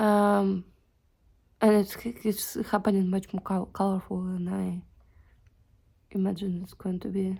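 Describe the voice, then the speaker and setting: In a very clean recording with a silent background, a woman speaks at a fairly slow pace with big swings in loudness and long, frequent pauses. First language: not English. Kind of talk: casual talk to camera. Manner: unscripted, hesitant.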